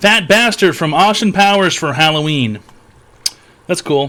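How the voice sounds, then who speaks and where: This man's pitch sits fairly high. He uses lively intonation. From Canada. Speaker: streamer hosting a call-in advice show. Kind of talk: live stream call-in chat.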